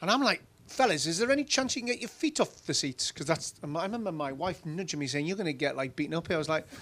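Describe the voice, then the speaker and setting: Very fast and with hardly any pauses, a man in a Geordie accent speaks at a high pitch with very wide pitch swings, on a very clean recording with a silent background. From northern England, Newcastle (Geordie). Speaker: former company CEO. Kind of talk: conference interview on stage. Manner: casual, anecdotal.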